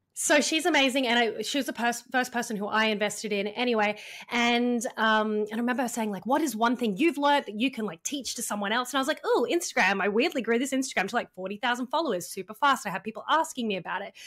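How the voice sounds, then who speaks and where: An Australian-accented woman, high-pitched and very fast, with hardly any pauses and a very clean recording over a silent background. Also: ordinary pitch variation. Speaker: funnel and launch strategist, copywriter. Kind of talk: podcast interview. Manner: casual, many fillers.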